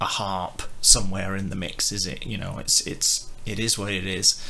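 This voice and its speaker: An unremarkable speaking voice talks at a moderate pace with fairly even intonation. Light noise sits in the background. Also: man. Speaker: music reviewer. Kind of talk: casual review commentary.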